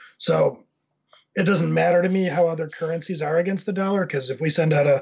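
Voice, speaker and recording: A plain, everyday voice with an American accent speaks with fairly even intonation. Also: man. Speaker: content agency owner. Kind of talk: casual panel discussion.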